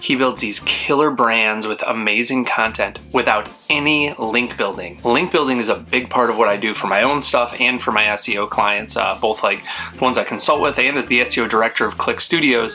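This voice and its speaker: Over music in the background, a man speaks at a fairly quick pace with very even loudness and hardly any pauses. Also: medium pitch for a man, ordinary pitch variation. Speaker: podcast host. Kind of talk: scripted intro. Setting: home office. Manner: restrained, not yelling.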